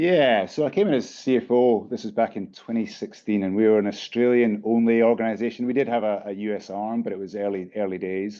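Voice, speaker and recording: With a British accent, a man speaks at a medium pitch and a fairly quick pace, using ordinary pitch variation and hardly any pauses. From UK. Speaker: company CEO. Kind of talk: panel interview. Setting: conference session. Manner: hesitant fillers, repeats words.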